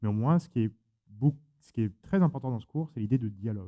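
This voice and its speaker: At a fairly quick pace, a man speaks in a medium pitch with a dark, mellow tone and ordinary pitch variation. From France. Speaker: moderator. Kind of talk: panel discussion.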